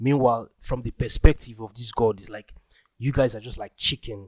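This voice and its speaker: Medium pitch from a man with a Nigerian accent, dry and close with no echo. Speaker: podcast host. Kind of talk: casual monologue. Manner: halting, many fillers and restarts.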